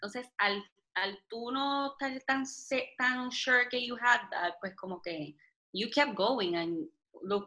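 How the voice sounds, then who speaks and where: A high-pitched woman in a Puerto Rican accent, bright and sharp in tone, with lively intonation, big swings in loudness and a very slow pace. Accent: Puerto Rican Spanish with Spanglish. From Puerto Rico. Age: 20s. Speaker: health and wellness blogger. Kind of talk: casual interview chat.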